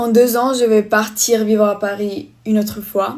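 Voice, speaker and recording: This woman's pitch is fairly high. She speaks at a fairly slow pace in a monotone, flat way. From Spain. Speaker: vlogger. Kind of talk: casual get-ready-with-me vlog. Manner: halting, less fluent French.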